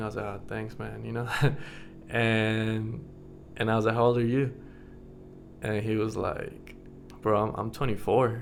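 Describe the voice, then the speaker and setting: With audible room echo, a man speaks in a monotone, flat intonation at a fairly slow pace, leaving long, frequent pauses. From United States, Mexican American family. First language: Spanish. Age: 30s. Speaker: vlogger. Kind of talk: casual vlog chat. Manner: casual, filler-heavy.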